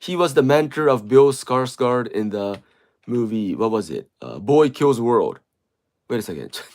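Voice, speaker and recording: A man speaks in a Japanese accent at a fairly slow pace, with ordinary pitch variation. His loudness swings widely. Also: medium pitch for a man. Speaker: livestreamer. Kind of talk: casual chat. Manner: halting.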